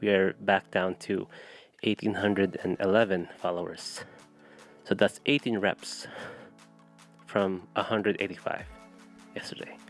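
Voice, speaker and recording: With music in the background, a man speaks fairly slowly at a fairly low pitch with fairly even intonation, the sound dry and close with no echo. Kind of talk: casual talk to camera. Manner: stutter.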